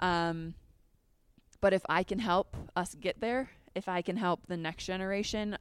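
This woman has an unremarkable speaking voice, medium in pitch. She talks at a moderate pace with ordinary pitch variation. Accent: American. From Minnesota. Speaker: sports TV reporter and analyst. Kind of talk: casual interview.

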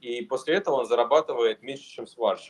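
A man speaks with very wide pitch swings. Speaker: co-host, founder of the platform. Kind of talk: casual discussion.

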